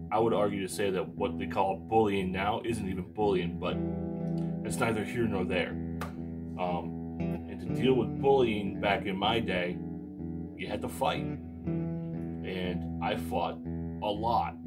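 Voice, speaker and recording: Loud music plays in the background as a man speaks fairly slowly. He uses ordinary pitch variation and long, frequent pauses. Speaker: musician vlogger. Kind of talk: casual vlog chat. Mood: reflective, personal. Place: home room. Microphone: phone near.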